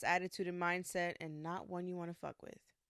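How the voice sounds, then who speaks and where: A woman speaks in a fairly low pitch, with a dry, close sound and no echo. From New York, Puerto Rican family. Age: 20s. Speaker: podcast host. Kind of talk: casual monologue. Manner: loud.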